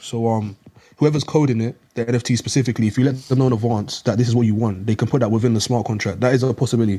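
Somewhat breathy and dark, mellow in tone, a man's voice is heard. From South London, England. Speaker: NFT investor. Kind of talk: casual chat. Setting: live audio chat room.

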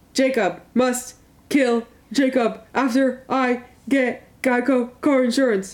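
Fairly high pitch and a fairly slow speed in a put-on character voice. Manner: blank, flat monotone.

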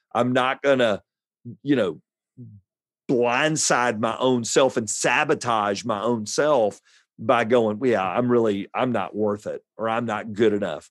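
A man's unremarkable speaking voice at a medium pitch, fairly slow and with fairly even intonation, over a quiet background. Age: 50s. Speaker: pastor. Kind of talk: interview.

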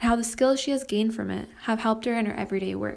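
This is a woman speaking. Her voice sits fairly high. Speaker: podcast host. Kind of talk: scripted introduction.

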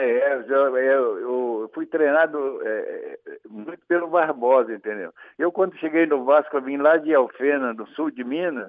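A man with a fairly high pitch talks at a very slow pace, using ordinary pitch variation. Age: 80s+. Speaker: retired footballer. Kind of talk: interview.

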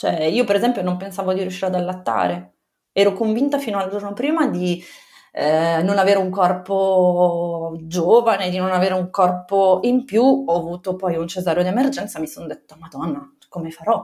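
At a moderate pace, a woman of medium pitch speaks in a dark, mellow tone with ordinary pitch variation. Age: 30s. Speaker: mother sharing birth story. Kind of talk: testimony. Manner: halting.

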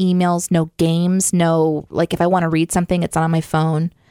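Recorded very cleanly against a silent background, with a dry, close sound and no echo, a woman with an American accent talks at a moderate pace and a fairly low pitch. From Southwest Missouri, US Midwest. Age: 30s. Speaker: podcast co-host. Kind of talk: casual chat. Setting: studio.

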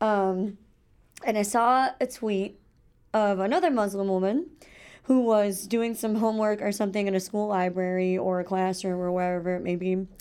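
A woman with a Chicago accent and a dark, mellow tone at a moderate pace, on a very clean recording with a silent background. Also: medium pitch for a woman. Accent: Chicago American. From Chicago suburbs, Illinois. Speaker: student radio co-host. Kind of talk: casual chat. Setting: radio studio.

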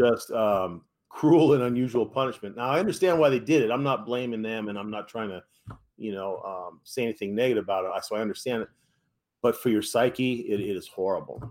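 A man talks at a fairly quick pace with an American accent. He has a normal speaking voice, medium in pitch with ordinary pitch variation. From US West Coast, San Francisco Bay Area. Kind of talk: interview testimony.

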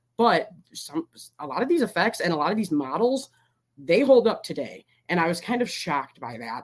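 A woman talks at a fairly quick pace with an American accent. Her pitch swings very widely. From Michigan. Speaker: YouTuber, movie commentator. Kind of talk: casual chat. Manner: rambling.

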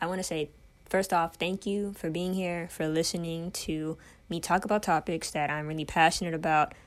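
A woman uses a plain, everyday voice, fairly low in pitch, with fairly even intonation at a moderate pace. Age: 20s. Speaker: podcast host and personal trainer. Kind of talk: solo podcast monologue.

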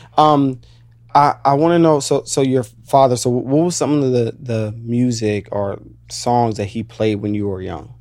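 Speaking at a fairly slow pace with an American accent, a plain, everyday voice shows ordinary pitch variation. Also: man, medium pitch for a man. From Virginia. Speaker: podcast host. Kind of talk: casual interview chat.

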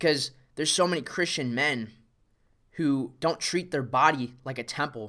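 On a very clean recording with a silent background, a man speaks in a fairly high, bright, sharp voice. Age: 20s. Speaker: fitness coach and podcast host. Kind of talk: solo motivational monologue.

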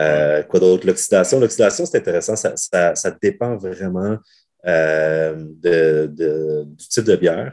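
Very deep and low, this man's voice shows ordinary pitch variation. He talks at a very slow pace. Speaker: brewer and brewery co-owner. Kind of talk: casual interview. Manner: halting, many repetitions.

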